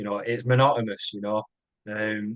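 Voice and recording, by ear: A man's fairly low, fairly bright voice with little pitch movement at a moderate pace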